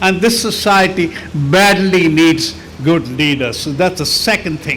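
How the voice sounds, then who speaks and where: High-pitched male speech at a fairly slow pace, ordinary pitch variation, and noticeable background noise. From India. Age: 80s+. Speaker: architect.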